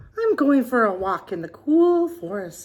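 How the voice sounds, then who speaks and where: This put-on character voice moves at a moderate pace with very wide pitch swings. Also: woman, high pitch for a woman. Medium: read story. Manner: sly, wheedling.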